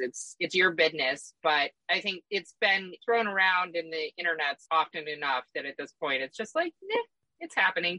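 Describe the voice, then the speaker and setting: A woman with a plain, everyday voice speaks at a fairly low pitch with lively intonation. The sound is dry and close, with no echo. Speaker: podcast host. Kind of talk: casual chat.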